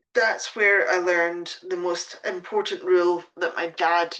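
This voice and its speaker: A woman with a Scottish accent at a fairly low pitch, over a quiet background. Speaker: pet sitting business coach. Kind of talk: live stream talk. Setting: Facebook live stream at home. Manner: hesitant, many fillers.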